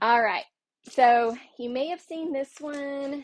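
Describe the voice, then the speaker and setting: Speaking with a Southern US accent, a woman uses ordinary pitch variation. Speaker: card-making crafter, livestream host. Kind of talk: live craft tutorial stream. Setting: livestream with chat. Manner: chatty, filler-heavy.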